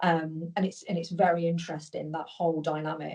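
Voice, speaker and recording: A woman speaks with a British accent. Her pitch is fairly low and her tone dark and mellow. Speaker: business leader. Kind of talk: interview. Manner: fast; animated.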